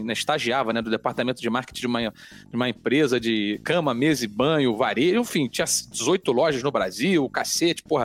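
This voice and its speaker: A man in a strong Rio de Janeiro accent, medium pitch, fairly quick pace, dry and close sound with no echo. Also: hardly any pauses. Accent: strong carioca. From Rio de Janeiro, Brazil. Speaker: sports TV anchor. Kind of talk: casual chat. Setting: studio. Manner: animated.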